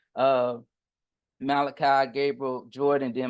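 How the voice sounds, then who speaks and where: Speaking in a Southern US accent, a man keeps a medium pitch and a monotone, flat intonation at a fairly slow pace. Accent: Southern US, country. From US South, Pensacola, Florida. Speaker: business coach and contractor. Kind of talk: online workshop lecture. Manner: occasionally tongue-tied.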